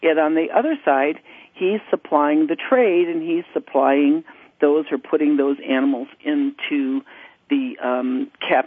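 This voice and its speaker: A woman's very deep, low voice with ordinary pitch variation at a fairly slow pace. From United States. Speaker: parrot rescue nonprofit CEO. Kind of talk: radio interview.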